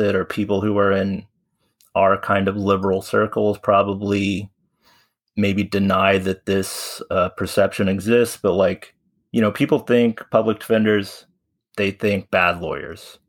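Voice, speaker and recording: Recorded very cleanly against a silent background, a man with an American accent speaks fairly slowly at a fairly low pitch with monotone, flat intonation. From US Midwest, Southeast Missouri. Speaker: former teacher, guest host. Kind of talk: casual chat. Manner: hesitant with many fillers.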